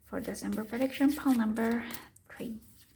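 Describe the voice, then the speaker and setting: A woman speaks with a non-native accent. Her pitch is fairly high and her intonation fairly even. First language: not English. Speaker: tarot reader. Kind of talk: tarot reading monologue. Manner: halting.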